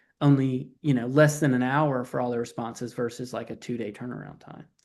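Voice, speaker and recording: At a very fast pace, a man with a Southern US accent speaks in a medium pitch with fairly even intonation against a quiet background. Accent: Southern twang. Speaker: AI automation company founder, guest speaker. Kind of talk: webinar presentation. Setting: online webinar.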